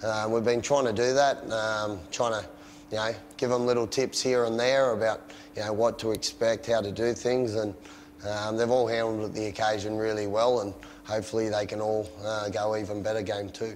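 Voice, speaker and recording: Against light background noise, a man talks at a moderate pace in a fairly low, monotone, flat voice. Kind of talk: interview answer. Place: street.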